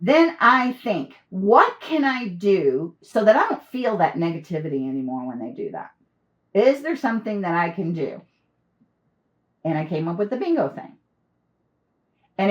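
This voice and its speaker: A woman speaks loudly with very wide pitch swings. Her pauses are long and frequent. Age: 60s. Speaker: business trainer and coach. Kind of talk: interview conversation. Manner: loud laugh.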